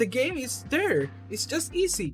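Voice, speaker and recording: A robotic voice at a fairly slow pace, with music in the background. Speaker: gaming commentator. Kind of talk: unscripted casual commentary. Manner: stuttering, somewhat robotic delivery.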